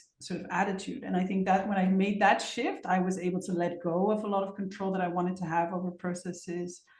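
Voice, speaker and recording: Audible room echo around a woman with a Dutch accent at a fairly quick pace. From Netherlands. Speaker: facilitator. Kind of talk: interview.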